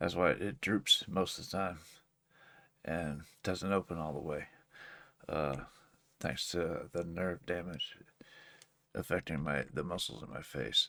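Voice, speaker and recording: Showing vocal fry and a very deep, low pitch, a man speaks at a fairly slow pace with a bright, sharp tone, ordinary pitch variation and long, frequent pauses. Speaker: reaction video creator. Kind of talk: casual reaction commentary.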